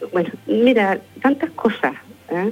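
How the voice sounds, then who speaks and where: Noticeable background noise runs under the recording. A woman talks at a fairly slow pace with ordinary pitch variation. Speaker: parish pastoral worker. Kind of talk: live radio interview.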